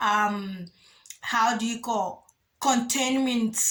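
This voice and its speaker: At a very slow pace, a woman talks in a high pitch. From Africa. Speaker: spiritual channel host. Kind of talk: spiritual monologue video. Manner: halting.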